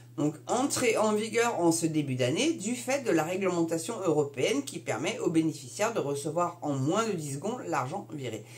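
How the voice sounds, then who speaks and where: Noticeable background noise sits under the speech. The delivery keeps a moderate pace. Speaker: YouTuber commenting on news. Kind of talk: casual commentary reading an article aloud. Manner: hesitant, many filler sounds.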